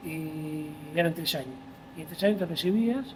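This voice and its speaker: The speech has lively intonation, with noticeable background noise behind it. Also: man. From Buenos Aires, Argentina (Palermo). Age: 60s. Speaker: volunteer firefighter. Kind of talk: interview conversation. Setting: fire station.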